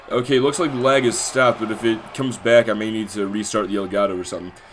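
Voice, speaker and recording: Speaking at a very fast pace, a man is heard over noticeable background noise. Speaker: video game wrestling streamer and commentator. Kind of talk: live play-by-play commentary of a simulated wrestling show. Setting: livestream. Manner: stuttering at times; animated.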